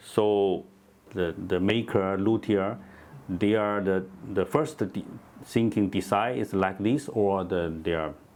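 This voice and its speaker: Speaking very slowly with long, frequent pauses, a man with a non-native accent uses a fairly low pitch. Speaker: guitar maker. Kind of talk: casual chat. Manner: halting.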